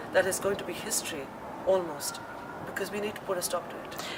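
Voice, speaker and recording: Speaking at a very fast pace, a woman with a medium pitch keeps her intonation fairly even, with audible room echo and noticeable background noise. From India. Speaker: chef and restaurant owner. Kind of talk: interview.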